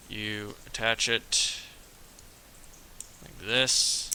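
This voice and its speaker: Noticeable background noise is present. Over it, a man speaks at a fairly low pitch. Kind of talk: casual building tutorial talk. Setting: wearing a mask, slightly muffled. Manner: casual, relaxed.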